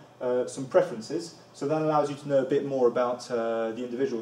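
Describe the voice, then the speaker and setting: Audible room echo surrounds a man's voice. He talks at a moderate pace with ordinary pitch variation. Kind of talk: presentation talk. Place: classroom. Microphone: camera far.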